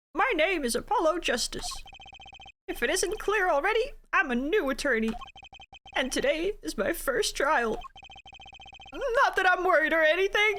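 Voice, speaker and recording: This put-on character voice sits at an extremely high pitch and breaks up with long, frequent pauses. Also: moderate pace. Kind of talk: casual gameplay commentary. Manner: loud, nervous.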